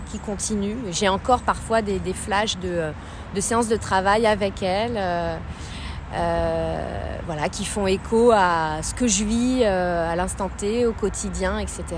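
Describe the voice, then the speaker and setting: Very slow speech from a woman comes with audible room echo and noticeable background noise. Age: young. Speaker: contemporary dancer and philosopher. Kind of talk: casual chat. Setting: outdoors. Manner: halting.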